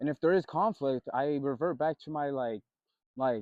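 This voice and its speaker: Speaking at a fairly quick clip, the man has a fairly high-pitched voice. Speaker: vlogger. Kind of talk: casual monologue vlog.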